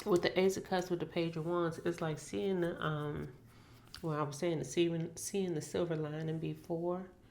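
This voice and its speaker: A woman with a fairly low voice speaks at a moderate pace. Room echo is audible. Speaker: tarot reader. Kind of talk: tarot reading monologue. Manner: casual, rambling with self-corrections.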